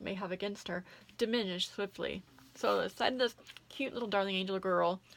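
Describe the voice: Someone reads the text aloud plainly. The pitch shows ordinary variation.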